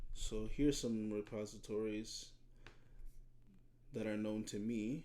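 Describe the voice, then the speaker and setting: In a room with audible echo, a man speaks slowly at a fairly low pitch with a dark, mellow tone. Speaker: high school computer science teacher. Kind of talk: screen-recorded tutorial. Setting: video recording with webcam. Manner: halting, frequent repetitions.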